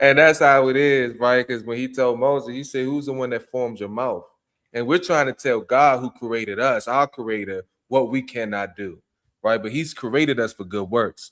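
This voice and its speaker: A man with a DC area accent speaks at medium pitch and a moderate pace, with ordinary pitch variation. The recording is very clean, the background silent. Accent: DMV (Washington DC area). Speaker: podcast host. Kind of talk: podcast interview.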